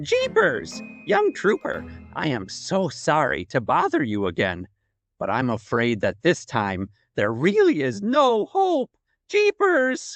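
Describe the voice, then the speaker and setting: Someone performs a put-on character voice at a fairly slow pace while faint music plays in the background. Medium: audio drama. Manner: fussy, exclamatory, refers to himself in third person.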